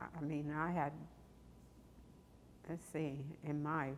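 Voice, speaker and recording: The voice carries vocal fry and fairly even intonation at a very slow pace. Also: woman. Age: 80s+. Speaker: church member. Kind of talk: interview reminiscence. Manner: halting.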